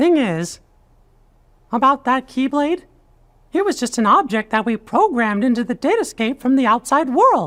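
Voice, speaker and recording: A put-on character voice, female-sounding and fairly high, at a moderate pace with long, frequent pauses. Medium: video game. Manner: earnest, upbeat.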